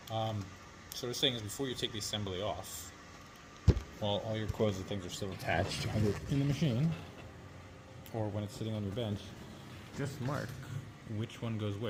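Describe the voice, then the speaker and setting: Amid noticeable background noise and audible room echo, a fairly low-pitched man speaks at a fairly quick pace with ordinary pitch variation and long, frequent pauses. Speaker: biomedical equipment technician. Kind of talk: tutorial. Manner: fast; casual.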